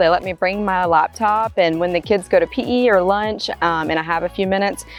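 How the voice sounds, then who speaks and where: Music plays in the background as a woman speaks with a Southern US accent. She barely pauses, and her pitch varies in an ordinary way. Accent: Southern US drawl. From North Carolina. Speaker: real estate agent. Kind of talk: interview answer.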